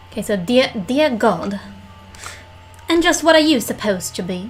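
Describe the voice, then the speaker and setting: Putting on a nasal, high-pitched character voice, a woman speaks at a moderate pace over clear background noise. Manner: incredulous, exclaiming.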